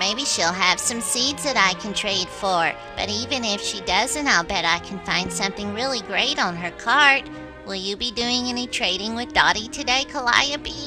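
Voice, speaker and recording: A female-sounding voice in a cartoonish character voice, medium pitch and moderate pace, with clear music in the background. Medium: puppet.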